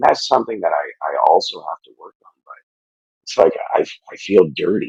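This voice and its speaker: A man speaks quietly at a moderate pace. The sound is dry and close, with no echo. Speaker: podcast guest, fitness challenge winner. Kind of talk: emotional interview testimony. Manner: halting, many fillers and restarts.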